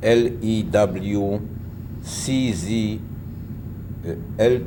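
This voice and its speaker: Very slow, fairly even speech from a man with a fairly low pitch, amid audible room echo and noticeable background noise. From Poland. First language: Polish. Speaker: Holocaust survivor. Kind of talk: oral history interview.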